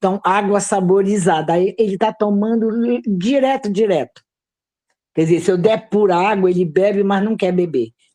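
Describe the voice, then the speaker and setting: A woman's dark, mellow voice at medium pitch, with ordinary pitch variation and a moderate pace. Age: 70s. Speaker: herbal health teacher. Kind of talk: online class.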